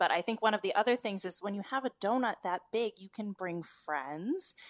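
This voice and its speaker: A woman with an unremarkable speaking voice talks at a moderate pace with lively intonation, the sound dry and close with no echo. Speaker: food reporter. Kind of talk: radio panel chat.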